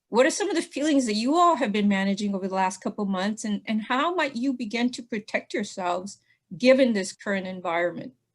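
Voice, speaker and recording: Talking at a very fast pace, a woman with a fairly high pitch sounds somewhat breathy, her intonation lively, on a very clean recording with a silent background. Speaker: presenter at partners meeting. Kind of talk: presentation.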